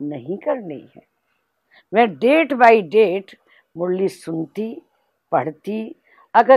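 Against a quiet background, a woman speaks very slowly, her pitch swinging very widely. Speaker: spiritual teacher and regional head of a spiritual organisation; spiritual teacher. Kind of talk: spiritual testimony. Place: home room.

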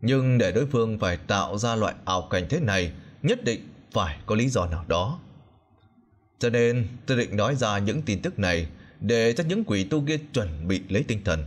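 A man with an ordinary speaking voice, a fairly low pitch, lively intonation and a moderate pace. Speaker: audiobook narrator. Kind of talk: reading aloud.

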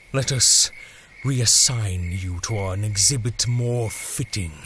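Clear background noise runs under a man speaking fairly slowly at a medium pitch. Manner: contemptuous, commanding.

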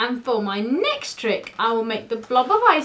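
Lively intonation over an unforced reading voice

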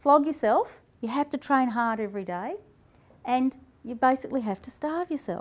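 Lively intonation in an Australian accent. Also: woman. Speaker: health and wellness speaker; speaker. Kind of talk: talk to live audience. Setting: stage with audience. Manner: animated. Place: hall. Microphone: lapel.

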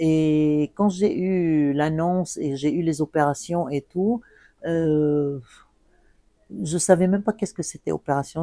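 A woman speaks with a very deep, low pitch and a dark, mellow tone, with ordinary pitch variation. The sound is dry with no echo, over a quiet background. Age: 60s. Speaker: cancer survivor and patient association volunteer. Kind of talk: interview testimony. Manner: hesitant with many fillers. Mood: calm, earnest. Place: home room.

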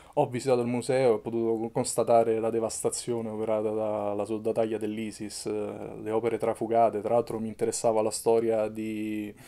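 With a Roman accent, a man talks at a fairly quick pace with hardly any pauses, his tone dark and mellow and his intonation monotone and flat. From Rome, Italy; Italy. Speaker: photojournalist and documentary maker; photojournalist recounting his reporting. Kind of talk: interview. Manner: halting, with fillers. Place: home room.

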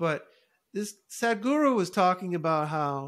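A man speaks against a quiet background. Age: 50s. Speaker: podcast host. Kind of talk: interview conversation. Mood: relaxed, animated. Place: home room. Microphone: studio mic.

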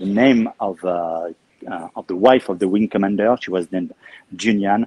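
A man talks with a French accent in a fairly low pitch. His tone is dark and mellow, and the sound is dry with no echo. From Normandy, France (Caen); Normandy, France. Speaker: museum guide. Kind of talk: guided tour. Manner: talkative. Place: hall. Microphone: phone near.

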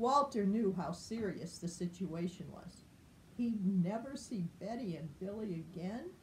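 Plain reading aloud, its pitch varying in an ordinary way

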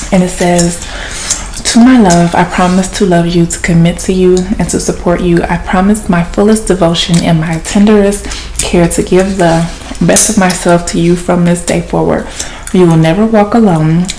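In a plain, everyday voice, a woman speaks at fairly low pitch and a moderate pace with fairly even intonation, over light background noise. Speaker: ASMR content creator and podcaster. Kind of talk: ASMR gum-chewing soft-spoken chat, casual rambling; whispered, intimate ASMR confiding, hushed close-mic murmur. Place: home room. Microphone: phone near.

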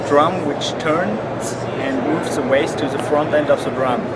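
A man's very slow speech over loud background noise. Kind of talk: interview answer. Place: hall.

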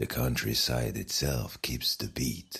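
A man's gentle, warm tone with vocal fry, at a very slow pace. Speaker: bedtime story narrator. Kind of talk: bedtime story, guided sleep meditation with scripted narration. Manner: soft, slow, soothing, calm and hushed; gentle, warm, dreamy storytelling.

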